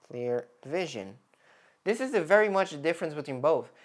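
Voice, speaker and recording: Someone with a non-native accent speaks on a very clean recording with a silent background. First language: not English. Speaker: content creator. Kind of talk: screen-share tutorial. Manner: halting, many self-corrections; casual.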